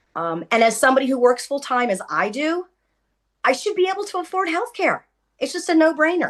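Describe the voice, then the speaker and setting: Her pitch high and swinging very widely, a woman speaks at a fairly quick pace. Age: 60s. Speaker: home care worker and union member. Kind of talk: panel testimony. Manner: hesitant with fillers.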